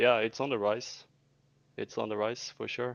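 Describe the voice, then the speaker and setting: Against a quiet background, a man with a Scandinavian accent speaks at medium pitch in a monotone, flat intonation. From Sweden. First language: Swedish. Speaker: debate participant. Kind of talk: heated debate.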